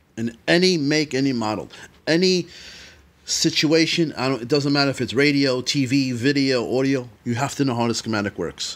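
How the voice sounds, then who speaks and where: His pace is moderate. The man's pitch shows ordinary variation. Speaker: automotive electronics teacher. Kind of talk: tutorial. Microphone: phone near.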